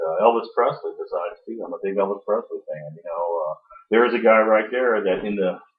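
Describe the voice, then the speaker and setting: A man speaks loudly. His pace is very fast. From Washington, Missouri, US Midwest. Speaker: city council candidate. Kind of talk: interview. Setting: studio.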